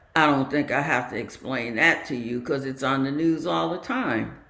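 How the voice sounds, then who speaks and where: A woman with ordinary pitch variation talks amid audible room echo. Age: 80s+. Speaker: meditation community talk leader. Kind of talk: dharma talk.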